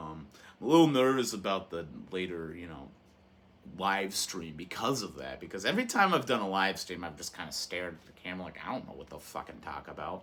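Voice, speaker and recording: A man with a very deep, low pitch and a bright, sharp tone speaks at a fairly quick pace. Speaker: YouTuber reviewing movies and physical media. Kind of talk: casual monologue to camera. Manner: loud; animated.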